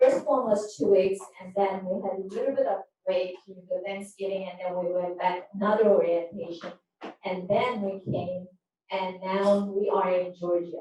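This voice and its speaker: A woman with a Korean accent and a dark, mellow tone, fairly even intonation and big swings in loudness. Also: medium pitch for a woman, moderate pace. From Korea and Japan. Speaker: politician. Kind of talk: press conference speech.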